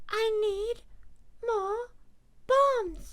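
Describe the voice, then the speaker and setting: A woman in a playful, put-on character voice at an extremely high pitch. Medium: virtual streamer. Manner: playful, cheeky.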